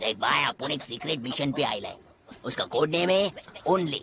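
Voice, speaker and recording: In a put-on character voice pitched low-to-middle, the speaker talks at a fairly quick pace. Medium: fan dub. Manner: slangy, excitable, keeps saying "arre baba".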